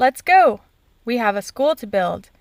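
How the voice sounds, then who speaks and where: A woman speaks in a put-on character voice, pitched high. Her pitch swings very widely. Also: moderate pace. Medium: read story.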